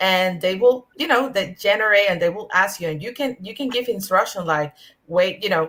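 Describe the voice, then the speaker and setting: A woman with a Spanish accent speaks at medium pitch. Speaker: early-career cybersecurity professional. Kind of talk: panel discussion. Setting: online video panel. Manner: halting, many fillers.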